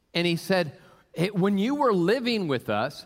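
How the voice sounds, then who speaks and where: Speaking with an American accent, a man keeps a moderate pace. His pitch swings very widely. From US Pacific Northwest (Tacoma, Washington). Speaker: pastor. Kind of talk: sermon. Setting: church. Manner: halting.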